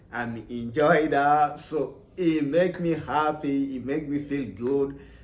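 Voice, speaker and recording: Audible room echo surrounds a man whose fairly high voice shows ordinary pitch variation. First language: not English. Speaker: English learner vlogger. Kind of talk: casual tutorial. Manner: halting, repetitive.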